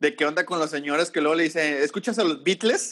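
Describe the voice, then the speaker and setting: Speaking at a fairly quick pace, a man has a fairly high pitch and a bright, sharp tone. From Mexico, Tampico area. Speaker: podcast co-host, teacher. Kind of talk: casual chat.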